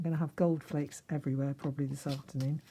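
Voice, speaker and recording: Somewhat breathy and dark, mellow in tone, the voice keeps a fairly even intonation on a very clean recording with a silent background. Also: woman. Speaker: card-making crafter. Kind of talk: tutorial. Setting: home craft room. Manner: chatty.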